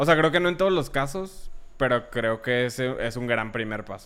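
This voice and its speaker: In a normal speaking voice, a man talks at a moderate pace and medium pitch with lively intonation. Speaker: student and musician. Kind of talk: casual chat.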